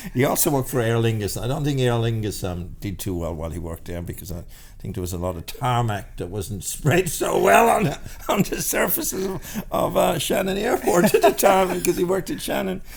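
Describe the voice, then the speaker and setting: A man's medium-pitched voice with an Irish accent, fairly quick pace and very wide pitch swings. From Ireland, rural County Clare. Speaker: salon business founder. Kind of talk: podcast interview. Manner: halting, many repetitions and fillers.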